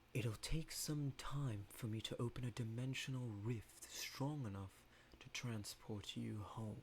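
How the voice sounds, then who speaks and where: A man's put-on character voice at a fairly slow pace, with clear background noise. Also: medium pitch for a man. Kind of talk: ominous final-boss voice. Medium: read story. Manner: slow, calm, commanding.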